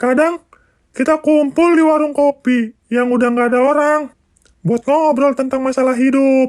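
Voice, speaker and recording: A high-pitched put-on character voice at a moderate pace. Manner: giggly, playful.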